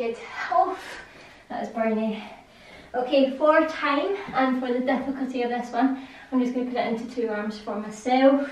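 A high-pitched woman's voice with ordinary pitch variation and audible room echo. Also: moderate pace. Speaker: fitness instructor. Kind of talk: guided follow-along workout coaching. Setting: home or studio video. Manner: casual, conversational, repeating cues. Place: home room. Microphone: camera far.

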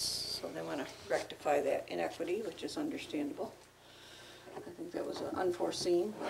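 A soft-spoken woman with an American accent talks over light background noise. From upstate New York. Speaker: town supervisor chairing meeting. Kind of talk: town board meeting. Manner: soft-spoken, hard to hear. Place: meeting room. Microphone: camera far.

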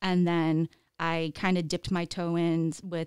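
A woman's fairly low voice, dry with no echo, over a quiet background. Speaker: podcast guest. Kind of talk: interview answer. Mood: friendly, relaxed storytelling. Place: studio. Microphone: studio mic.

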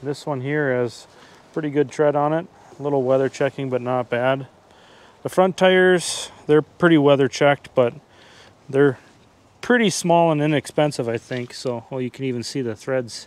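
Pausing long and often, a man talks at a moderate pace with ordinary pitch variation, the sound dry with no echo. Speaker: hobby tractor restorer. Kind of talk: casual vlog chat. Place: street. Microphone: phone near.

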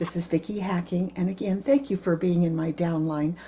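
In an American accent, a woman talks with a dark, mellow, somewhat breathy tone. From US. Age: 80s. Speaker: direct sales consultant. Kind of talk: sales pitch. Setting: video message. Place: kitchen. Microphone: webcam.

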